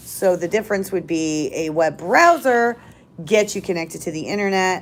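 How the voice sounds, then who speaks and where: Pitched in the middle range, a woman speaks with typical variation in her tone. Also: moderate pace. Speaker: library tech help presenter. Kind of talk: live tech tutorial. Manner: loud; casual, many fillers.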